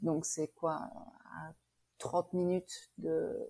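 A woman speaks with a Belgian accent and a dark, mellow tone. Her intonation stays fairly even over a very clean recording with a silent background. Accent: soft Belgian. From Belgium, Liège. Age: 40s. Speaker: immigrant. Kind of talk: interview testimony. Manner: hesitant with fillers.

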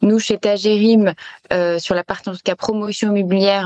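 Recorded dry and close with no echo, a woman talks at a moderate pace. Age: 30s. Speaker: property developer executive. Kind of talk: interview. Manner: hesitant, many fillers.

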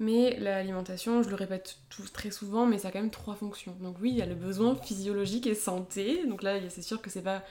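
At a moderate pace with hardly any pauses, a woman speaks at a medium pitch in a dark, mellow tone, with fairly even intonation and big swings in loudness. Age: 20s. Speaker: dietitian. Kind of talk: interview.

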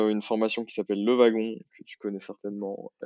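This man's voice has a fairly low pitch. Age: 30s. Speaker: marketing executive at a startup. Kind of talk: interview. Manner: hesitant, many fillers.

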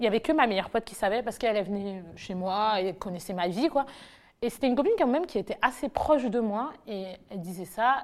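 In a very clean recording with a silent background, a woman with a plain, everyday voice talks at a fairly quick pace, her fairly high pitch carrying lively intonation and big swings in loudness. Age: 20s. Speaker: nurse. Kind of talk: testimony. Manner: casual.

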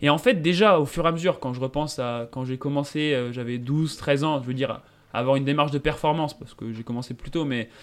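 Speaking at a very fast pace, a man with a fairly high pitch keeps fairly even intonation while his loudness swings widely. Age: 20s. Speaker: mountain runner and software engineer. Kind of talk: interview. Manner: hesitant, many fillers.

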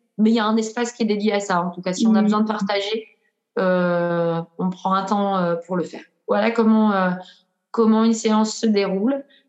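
Moderately paced female speech, medium in pitch, with fairly even intonation. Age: 40s. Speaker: breathwork practitioner. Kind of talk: casual interview. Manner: hesitant, many fillers.

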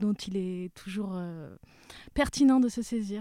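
A woman speaks at a fairly high pitch in a dark, mellow tone. The recording is very clean with a silent background. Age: young. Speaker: linguistics lecturer and author. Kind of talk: casual interview.

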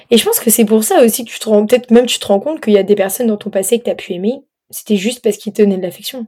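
Talking at a very fast pace, a woman with a fairly high pitch keeps her intonation fairly even while her loudness swings widely. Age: 20s. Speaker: podcast host. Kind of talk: casual chat. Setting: late-night recording.

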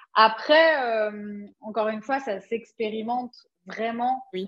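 A woman's very slow speech at a fairly high pitch. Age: 40s. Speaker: Human Design coach. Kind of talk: casual interview chat.

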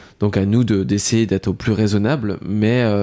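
Here a man speaks at a fairly low pitch with a dark, mellow tone. His pitch variation is ordinary. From France, Lorraine. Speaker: pastry chef, shop owner. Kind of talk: casual interview. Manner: halting, repeats words.

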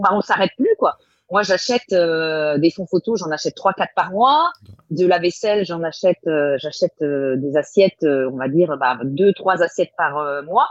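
A woman speaks at a fairly slow pace in a plain, everyday voice. Her pitch sits fairly low and her intonation is lively. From Brittany, France. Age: 40s. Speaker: chef and food photographer. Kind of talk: casual interview.

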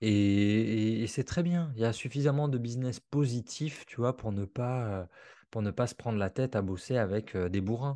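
A dark, mellow tone carries ordinary pitch variation at a moderate pace against a quiet background. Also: man, medium pitch for a man. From Alsace, France. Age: 30s. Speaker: copywriter and trainer. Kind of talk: interview podcast.

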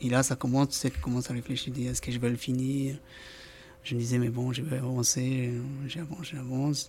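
A man speaks at a moderate pace, his medium-pitched voice held to a monotone, flat intonation. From South America, Andean country coast. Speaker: amateur marathon runner. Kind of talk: casual interview. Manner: halting, repeats words.

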